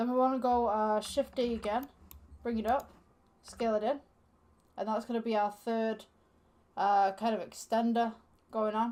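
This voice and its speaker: A woman's fairly high, monotone voice at a moderate pace, broken by long, frequent pauses, in a very clean recording with a silent background. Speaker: Blender tutorial creator. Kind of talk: tutorial. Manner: casual with many fillers.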